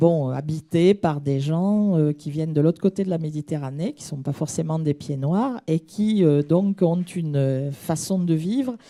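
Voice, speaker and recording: In a southern French accent, a woman speaks at a fairly slow pace with a fairly low pitch. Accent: southern French (Midi). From southern France (Midi). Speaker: audience member asking a question. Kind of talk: audience question at a conference. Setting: conference hall, audience microphone. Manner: hesitant, many fillers.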